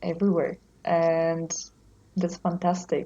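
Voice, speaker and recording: A woman talks at a medium pitch in a dark, mellow tone, somewhat breathy. The background is quiet. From Poland. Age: 30s. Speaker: traveler. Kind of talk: casual chat.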